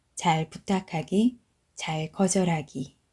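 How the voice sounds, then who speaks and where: In a calm, dark, mellow tone, a woman speaks very slowly with a fairly low, somewhat breathy voice and ordinary pitch variation. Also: very clean recording, silent background. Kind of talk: audiobook reading. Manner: calm, slow.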